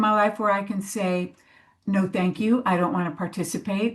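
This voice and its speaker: The speaker is a woman. Her voice has a somewhat breathy sound. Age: 60s. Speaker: panelist on crone archetype in death work. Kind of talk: panel discussion. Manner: halting.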